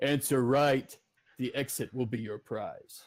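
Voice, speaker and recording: A man puts on a character voice at medium pitch. The recording is very clean, with a silent background. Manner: ominous.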